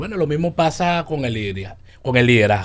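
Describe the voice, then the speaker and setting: A man speaks with a Venezuelan accent at a fairly quick pace. His medium-pitched voice shows ordinary pitch variation. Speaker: leadership coach. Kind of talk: radio interview.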